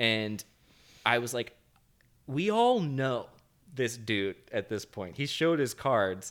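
Speaking at a very slow pace, a man leaves long, frequent pauses. He has a medium pitch with ordinary pitch variation. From not from the US. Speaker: podcast host. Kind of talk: casual chat.

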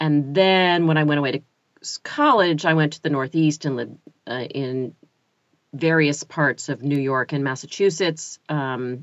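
A woman with an American accent speaks at a fairly slow pace. Her pitch is very deep and low, with ordinary variation. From US South, North Carolina (Chapel Hill). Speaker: audiobook narrator and narration coach. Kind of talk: casual interview chat.

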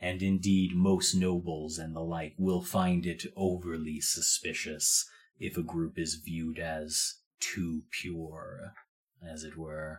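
A man's put-on character voice, very deep and low, monotone and flat, at a fairly slow pace. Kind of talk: fantasy tabletop character voice. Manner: formal, measured, coolly courteous, quietly threatening.

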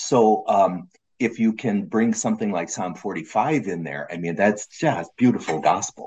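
A man has a normal speaking voice at a fairly low pitch. He talks at a fairly slow pace with lively intonation. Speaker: seminary professor. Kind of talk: casual chat.

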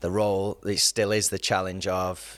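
In an English accent, a man speaks fairly slowly in a very deep, low pitch and a monotone, flat intonation, on a very clean recording with a silent background. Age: 30s. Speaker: youth and campus pastor. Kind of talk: casual chat.

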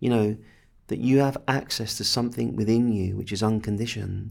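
The voice has an English accent and ordinary pitch variation. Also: man. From England. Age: 50s. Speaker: spiritual teacher. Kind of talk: guided meditation; interview conversation.

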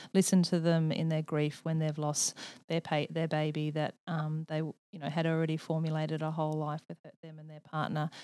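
In a very clean recording with a silent background and a dry, close sound with no echo, a dark, mellow voice with an Australian accent moves at a fairly quick pace with hardly any pauses, monotone, flat intonation and big swings in loudness. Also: woman, very deep, low pitch for a woman. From rural Australia. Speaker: nurse practitioner. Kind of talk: interview.

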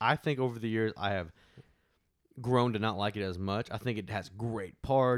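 On a very clean recording, silent background, with a dry, close sound and no echo, a man speaks in an ordinary speaking voice, fairly low in pitch, with ordinary pitch variation at a moderate pace. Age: 20s. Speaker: podcast host. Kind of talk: casual chat.

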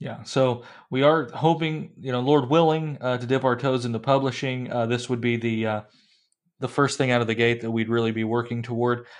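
A man talks at a fairly quick pace with a medium pitch and fairly even intonation. He has an ordinary speaking voice. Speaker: podcast host. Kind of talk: casual chat. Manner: humorous banter.

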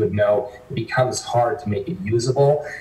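Audible room echo and noticeable background noise surround a man. He talks at a moderate pace with a medium pitch and ordinary pitch variation. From northwestern Canada. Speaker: investment firm founder and CEO. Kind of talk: interview.

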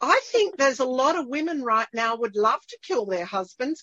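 A woman's high-pitched voice with an Australian accent, very wide pitch swings and a moderate pace. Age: 60s. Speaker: podcast host. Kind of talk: casual interview. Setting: video call.

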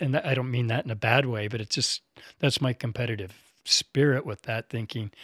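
A man speaks at a fairly quick pace with medium pitch and ordinary pitch variation, in an ordinary speaking voice. The sound is dry and close with no echo, on a very clean recording with a silent background. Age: 50s. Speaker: yamadori collector and hunter. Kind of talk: casual chat. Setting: studio.

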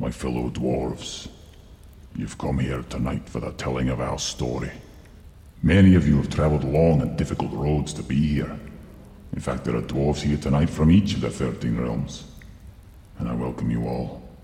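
A man uses a put-on character voice with a very deep, low pitch, speaking at a moderate pace with long, frequent pauses. There is a slight echo and light background noise. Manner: welcoming, ceremonial.

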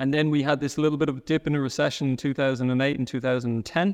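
Very fast speech comes from a man with a fairly high pitch and fairly even intonation. The background is quiet. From Dublin, Ireland. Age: 30s. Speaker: sales leader. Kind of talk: casual interview chat.

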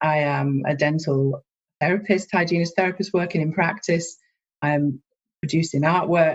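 A woman with a Scottish accent talks at a moderate pace, her fairly low pitch carrying fairly even intonation. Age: 30s. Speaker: dental student and dental therapist. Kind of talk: interview.

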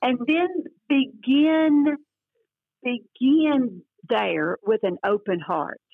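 Her pitch swinging very widely, a woman speaks with a Southern US accent. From US South, northeast Louisiana. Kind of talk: interview about faith.

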